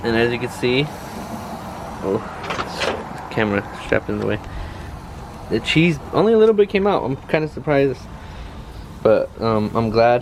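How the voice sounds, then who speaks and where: Noticeable background noise runs behind a man's voice. He keeps a moderate pace with long, frequent pauses. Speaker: outdoor cooking vlogger. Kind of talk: casual cooking tutorial. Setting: outdoors at a backyard grill. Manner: halting, many fillers and repeats.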